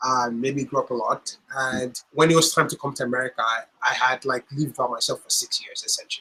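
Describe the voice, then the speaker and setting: Very fast and with hardly any pauses, a man delivers his lines. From Nigeria (Lagos). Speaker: health-tech entrepreneur. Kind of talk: interview.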